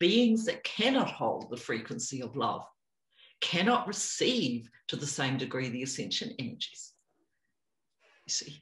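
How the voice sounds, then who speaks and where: A woman with a New Zealand accent speaks at a very deep, low pitch with very wide pitch swings. Her somewhat breathy delivery is fairly slow, with long, frequent pauses. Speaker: spiritual teacher. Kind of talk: interview.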